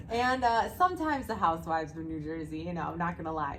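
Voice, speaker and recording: A woman speaks fairly quickly, and the room echo can be heard. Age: 40s. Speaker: podcast host and jiu jitsu gym owner. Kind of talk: casual interview chat.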